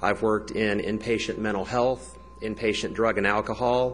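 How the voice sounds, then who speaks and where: A man speaks at a moderate pace in a medium pitch with fairly even intonation, over noticeable background noise. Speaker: teacher. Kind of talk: public comment at a government meeting. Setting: county commission meeting. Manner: unscripted, with some hesitations.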